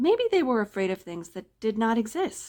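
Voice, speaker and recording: With lively intonation and a moderate pace, a woman with an unremarkable speaking voice is heard on a very clean recording over a silent background. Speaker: library staff member reading a story. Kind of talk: scary story reading.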